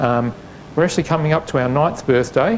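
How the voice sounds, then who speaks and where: Noticeable background noise accompanies a man who speaks with an Australian accent. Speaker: facility manager. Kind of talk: event introduction. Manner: hesitant, many fillers.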